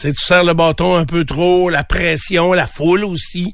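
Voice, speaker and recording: The man speaks at a moderate pace with a high pitch. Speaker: morning radio host. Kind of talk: casual chat.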